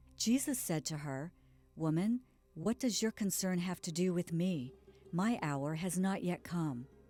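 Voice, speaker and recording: This woman has a plain, everyday voice with fairly low pitch. She speaks at a fairly slow pace with lively intonation. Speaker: audiobook reader. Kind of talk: scripture audiobook reading.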